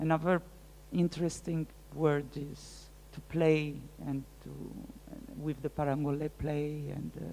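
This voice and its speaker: This woman talks at a fairly slow pace with long, frequent pauses and big swings in loudness. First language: French. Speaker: art curator and researcher. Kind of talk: lecture Q&A. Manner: halting, many hesitations.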